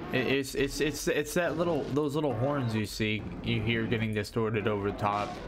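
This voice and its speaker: A man's medium-pitched voice, with audible room echo and music in the background. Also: ordinary pitch variation, moderate pace. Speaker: music reviewer streamer. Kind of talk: live stream music review. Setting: live stream, late night. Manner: halting, repetitive.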